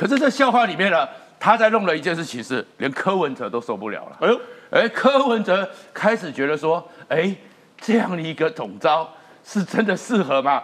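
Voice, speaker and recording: A man with a high voice talks at a moderate pace with very wide pitch swings. Noticeable background noise is present. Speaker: veteran journalist. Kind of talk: political talk show discussion.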